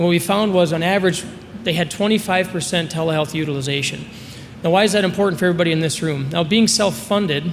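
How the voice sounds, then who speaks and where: A man with an American accent talks at a very fast pace and a high pitch. His pitch variation is ordinary, with noticeable background noise and audible room echo. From Minnesota, US Midwest. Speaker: sales presenter for a telemedicine company. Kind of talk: conference presentation.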